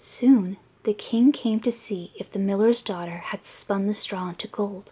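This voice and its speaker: Soft-spoken, a woman whispers. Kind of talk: storybook reading for relaxation. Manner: soft-spoken, whispery.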